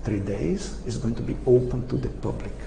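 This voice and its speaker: Against noticeable background noise and audible room echo, a man talks at a fairly slow pace with a Portuguese accent. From Brazil. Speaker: retired engineering professor. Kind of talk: lecture. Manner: halting.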